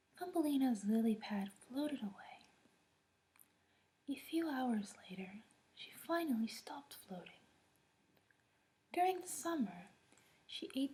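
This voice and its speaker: A soft-spoken woman talks at a fairly slow pace in a high, soothing voice, with long, frequent pauses. Her pitch swings very widely and her loudness rises and falls a lot. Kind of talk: soft fairy tale reading at bedtime. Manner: soft-spoken, soothing.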